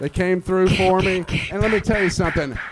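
There is noticeable background noise. A man talks with an American accent. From Georgia, US South. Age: 50s. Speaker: comedian. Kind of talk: stand-up. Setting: stage with audience.

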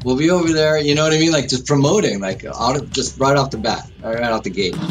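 Fairly high-pitched and quick, a man with an American accent uses lively intonation amid audible room echo and noticeable background noise. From US Northeast, Westchester County, New York. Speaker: rock drummer. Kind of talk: interview.

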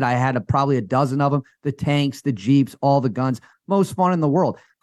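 An ordinary speaking voice from a man with an American accent, fairly high in pitch with ordinary pitch variation, at a fairly quick pace, dry and close with no echo, on a very clean recording with a silent background. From US Midwest, rural Wisconsin. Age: 30s. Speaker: sports and culture writer. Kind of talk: casual chat.

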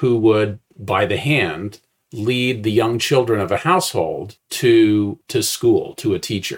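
A man speaks at a fairly slow pace, sounding somewhat breathy. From US Midwest (Indiana). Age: 60s. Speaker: retired philosophy professor. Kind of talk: interview conversation.

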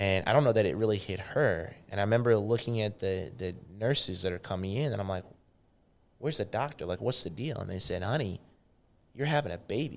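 A man with an American accent has an ordinary speaking voice, fairly low in pitch, with lively intonation at a fairly quick pace. The recording is very clean, with a silent background. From Missouri. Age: 30s. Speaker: fitness executive. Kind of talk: casual interview.

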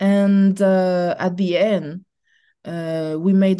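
A woman's dark, mellow tone at medium pitch, very slow and fairly even in intonation, with a French accent and a quiet background. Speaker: film actress. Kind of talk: interview. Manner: halting.

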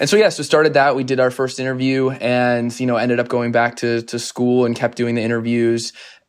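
Against a quiet background, a man with an American accent speaks at a medium pitch and a fairly quick pace with monotone, flat intonation. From Arizona, US. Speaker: media company founder and CEO. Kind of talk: interview.

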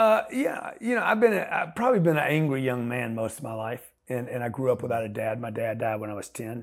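A man with an American accent talks at a fairly quick pace with hardly any pauses. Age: 60s. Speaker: entrepreneur. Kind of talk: casual chat. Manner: halting.

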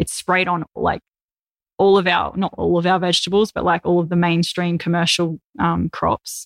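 At a moderate pace and very even loudness, a woman with an Australian accent speaks in a flat monotone, the sound dry and close with no echo. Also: fairly low pitch for a woman. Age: 30s. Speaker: vegan influencer and author. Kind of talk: casual interview.

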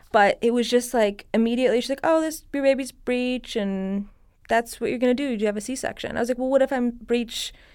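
A woman with an American accent speaks at a fairly quick pace and high pitch with fairly even intonation, in a very clean recording with a silent background. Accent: slight Persian accent at moments. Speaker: cosmetic skincare artist and Reiki healer. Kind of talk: casual interview.

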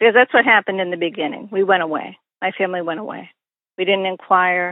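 In an American accent, a woman talks fairly quickly at a medium pitch with fairly even intonation. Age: 60s. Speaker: victim's sister and nurse. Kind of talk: interview testimony. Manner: halting.

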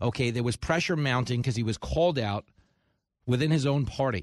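In a New York accent, the speaker talks at a fairly quick pace with an animated tone and ordinary pitch variation, with a dry, close sound with no echo and a quiet background. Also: man. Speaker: talk radio host and comedian. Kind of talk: talk radio monologue and interview. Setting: studio.

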